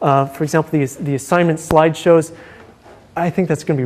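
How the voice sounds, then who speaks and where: Fairly even intonation marks this man's fairly high-pitched voice. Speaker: university lecturer. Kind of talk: lecture. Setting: lecture hall with students. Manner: fast; halting, many fillers.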